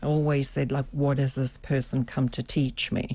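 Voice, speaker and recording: A woman speaks in a very deep, low pitch with a dark, mellow tone. She has a slight South African accent. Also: quiet background. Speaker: executive coach and former psychotherapist. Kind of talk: interview.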